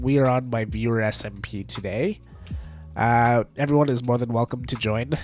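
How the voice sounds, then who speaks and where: With music in the background, a man speaks at a moderate pace and medium pitch. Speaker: streamer. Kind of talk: casual chat.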